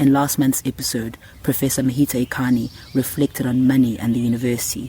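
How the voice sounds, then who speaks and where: With a South African accent, a man talks fairly quickly in a monotone, flat delivery. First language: isiZulu. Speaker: podcast host. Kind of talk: scripted narration.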